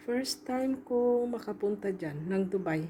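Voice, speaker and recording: A woman talks at a very slow pace. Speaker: overseas domestic worker and vlogger. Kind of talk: travel vlog voice-over. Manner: casual, halting.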